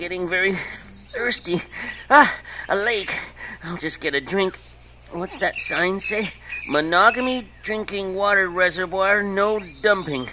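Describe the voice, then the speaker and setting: A man uses a put-on character voice with a high pitch. He speaks at a fairly slow pace, and there is clear background noise. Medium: audio drama. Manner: giggly, evasive.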